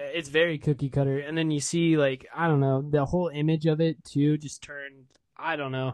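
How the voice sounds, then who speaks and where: At a fairly quick pace, a man with an American accent speaks in a flat monotone at a fairly high pitch against a quiet background. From Des Moines, Iowa. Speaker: podcaster. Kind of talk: casual chat. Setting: video call.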